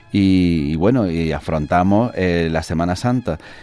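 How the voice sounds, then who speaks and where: Over music in the background, a man speaks in a very deep, low voice with fairly even intonation. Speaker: radio interviewer. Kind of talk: radio interview questions.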